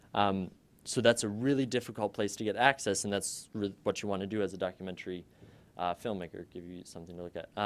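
A fairly low-pitched man talks at a fairly quick pace in an ordinary speaking voice. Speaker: undergraduate student and documentary maker; presenter. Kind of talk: student presentation. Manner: casual, upbeat. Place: classroom. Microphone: podium.

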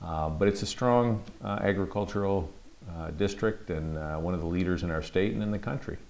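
A man speaks with an American accent at a very deep, low pitch. His pitch variation is ordinary. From Michigan (Midland); Michigan. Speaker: congressman. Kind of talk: interview. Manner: halting, many fillers. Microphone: lapel.

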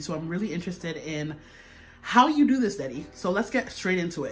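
A woman with a fairly low pitch talks at a very fast pace while faint music plays in the background. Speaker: host filming her father. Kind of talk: casual vlog chat. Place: kitchen.

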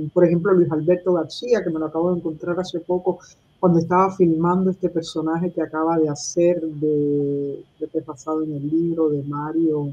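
A woman at a fairly low pitch, moderate in pace, with monotone, flat intonation. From Cuba. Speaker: writer and activist; interviewee. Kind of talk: interview. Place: home room. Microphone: webcam.

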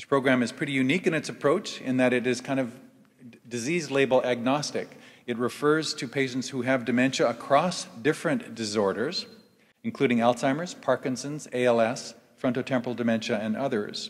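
The setting is quiet. A man talks fairly quickly, his pitch varying in an ordinary way. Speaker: event host introducing speakers. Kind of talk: formal introduction speech. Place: stage. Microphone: podium.

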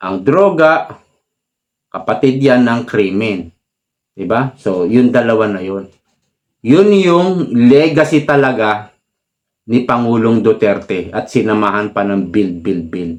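Speaking at medium pitch with lively intonation, a man keeps a very slow pace with long, frequent pauses. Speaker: political commentary vlogger. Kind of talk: political commentary monologue. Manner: animated.

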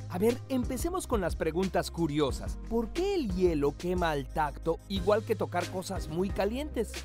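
A man at a fairly slow pace with hardly any pauses, music in the background. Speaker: voice-over narrator. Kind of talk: educational narration.

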